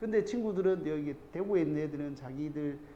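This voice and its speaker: Audible room echo surrounds a man speaking with a Gyeongsang accent at a moderate pace. His tone is dark and mellow, his pitch fairly high, with ordinary pitch variation. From South Korea, Andong (North Gyeongsang). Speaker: math academy teacher. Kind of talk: parent information session talk. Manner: informal, rambling with filler words.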